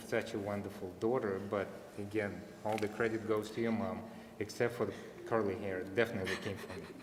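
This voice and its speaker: A man's fairly low voice with a Russian accent, fairly even intonation, audible room echo and noticeable background noise. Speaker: father of bat mitzvah girl. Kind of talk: family speech at religious ceremony. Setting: synagogue service.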